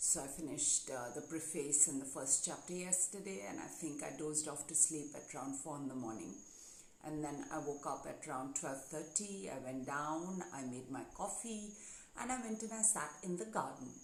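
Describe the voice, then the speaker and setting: Through noticeable background noise, a woman with a very deep, low pitch and a relaxed tone speaks at a moderate pace with lively intonation. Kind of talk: casual live stream talk to camera. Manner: relaxed, chatty.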